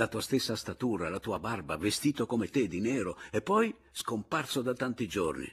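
Lively intonation while reading aloud in a natural voice.

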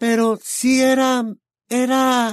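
A man does a put-on character voice at an extremely high pitch. His delivery stays flat and monotone. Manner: whimpering.

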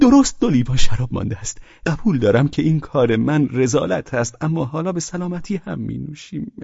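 A man puts on a character voice with fairly high pitch, big pitch swings and a dark, mellow tone. There is a slightly husky edge and some vocal fry.

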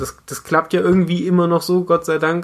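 Here a man has a plain, everyday voice. He speaks at a moderate pace with a fairly high pitch. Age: 20s. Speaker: amateur runner and podcaster. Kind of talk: casual chat.

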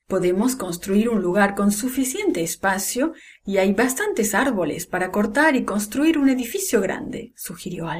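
Reading aloud in a natural voice, intonation lively throughout

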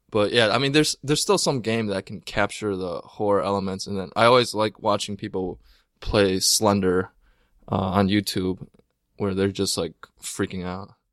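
In a very clean recording with a silent background, a man speaks at a moderate pace. He has a normal speaking voice, fairly low in pitch, with ordinary pitch variation. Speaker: podcast co-host. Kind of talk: casual chat. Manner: joking, playful.

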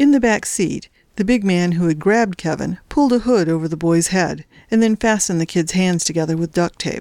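A stretch of plain reading aloud

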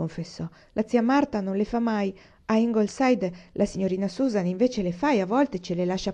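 A natural reading voice, pitch varying in an ordinary way.

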